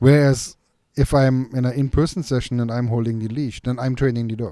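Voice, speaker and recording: Speaking with a non-native accent, a man uses a medium pitch and ordinary pitch variation. His tone is dark and mellow. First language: not English. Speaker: dog trainer and podcast host. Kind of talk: casual chat. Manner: halting.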